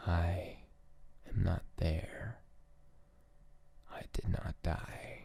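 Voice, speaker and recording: Whispering in a gentle tone, a man speaks at a very slow pace with long, frequent pauses. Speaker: ASMR creator. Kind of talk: ASMR poetry reading. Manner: slow, gentle, hushed.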